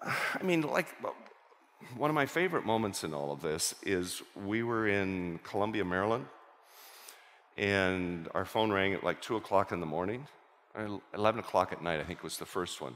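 Lively intonation marks a man's low-pitched voice. His tone is fairly bright and his pace moderate.

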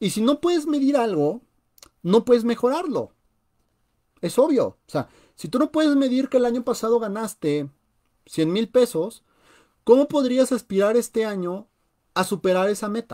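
A man with a Mexican accent talks at a moderate pace in an animated tone, leaving long, frequent pauses, over a quiet background. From Mexico. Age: 20s. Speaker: personal finance youtuber. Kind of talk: live radio talk on finance. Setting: live stream. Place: home room. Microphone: webcam.

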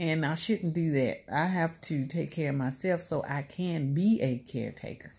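Her pitch varies in an ordinary way as the woman talks at a moderate pace. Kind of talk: casual vlog chat. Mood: earnest, reflective. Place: home room. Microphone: phone near.

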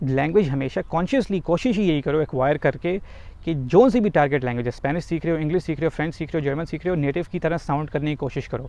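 Speaking very fast with hardly any pauses, a man has a fairly high pitch, ordinary pitch variation and a dark, mellow tone in a dry sound with no echo. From Pakistan. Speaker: YouTuber. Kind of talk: vlog tutorial. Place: waterside. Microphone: lapel.

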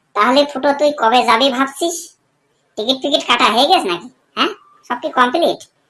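Using a cartoonish character voice, a woman speaks in a high pitch at a moderate pace. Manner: coarse, teasing.

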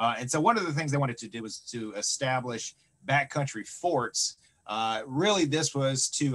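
Moderate-paced speech from a man, pitch varying in an ordinary way. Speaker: museum director; presenter. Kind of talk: online lecture presentation. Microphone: video call.

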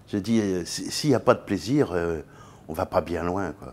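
Speaking fairly slowly in a very deep, low voice, a man uses lively intonation with big swings in loudness. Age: 70s. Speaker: business executive; interview guest. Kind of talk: interview. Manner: halting. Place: studio. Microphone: lapel.

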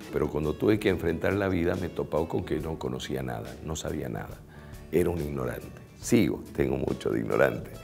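Faint music in the background accompanies a man with a very deep, low pitch who talks at a fairly quick pace. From Bolivian Chaco. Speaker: radio announcer and TV presenter. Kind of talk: interview answer. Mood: warm, reflective. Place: studio. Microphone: lapel.

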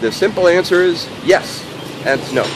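This man speaks at a fairly high pitch over noticeable background noise. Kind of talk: casual vlog. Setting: outdoors walking. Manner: casual, jokey.

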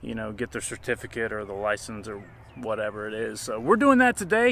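A man speaking at a fairly quick pace in dry sound with no echo. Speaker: property owner vlogger. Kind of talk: casual vlog chat. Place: open country.

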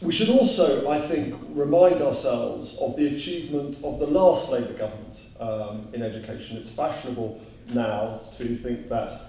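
A man talks at a moderate pace, with audible room echo and light background noise. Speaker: speaker. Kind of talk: public speech. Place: hall.

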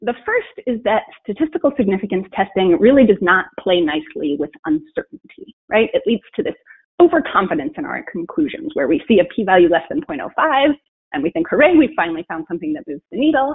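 The pitch swings very widely at a fairly quick pace. The background is quiet. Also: woman. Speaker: statistician presenting research. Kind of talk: webinar presentation. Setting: video call. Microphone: webcam.

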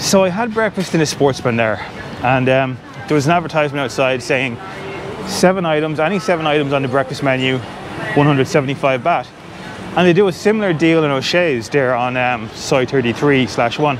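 A man speaks in a dry recording with no echo while music plays in the background. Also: ordinary pitch variation, fairly quick pace. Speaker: travel food vlogger. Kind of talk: casual vlog chat. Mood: indignant, ranting about prices. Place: street. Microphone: phone near.

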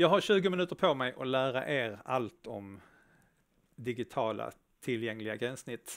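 A man at a medium pitch with lively intonation, moderate pace and a quiet background. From Skåne, southern Sweden. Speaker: front-end developer, conference speaker; presenter. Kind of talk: conference talk. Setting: stage with live audience, streamed. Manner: hesitant, many filler sounds. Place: stage.

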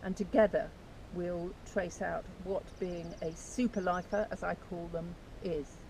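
Somewhat breathy and fairly slow, the speech has a dry sound with no echo and light background noise. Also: woman, fairly low pitch for a woman. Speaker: author and channel host. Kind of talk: casual talk to camera. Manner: enthusiastic. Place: beach. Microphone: camera far.

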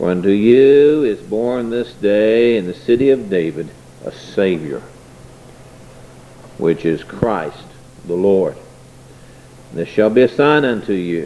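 A man at a fairly slow pace, with ordinary pitch variation and long, frequent pauses. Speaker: preacher. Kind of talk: sermon scripture reading. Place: church.

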